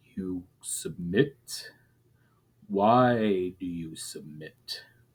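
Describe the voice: A put-on character voice rumbles at a low pitch. It moves at a very slow pace.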